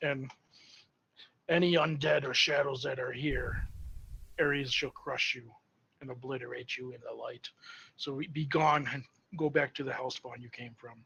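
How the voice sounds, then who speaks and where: In a put-on character voice, a man sounds raspy, booming and loud at a fairly high pitch, moving at a moderate pace with long, frequent pauses. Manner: intimidating, commanding.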